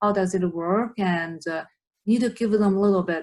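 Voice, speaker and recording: A woman's unremarkable speaking voice at a medium pitch, moderate pace, with ordinary pitch variation. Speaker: therapy student and interviewer. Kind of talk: interview host questions.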